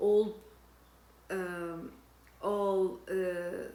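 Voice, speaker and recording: Noticeable background noise behind a female speaker. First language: not English (English is third language). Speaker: personal development vlogger. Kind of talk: personal testimony. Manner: halting, frequent repetitions and fillers.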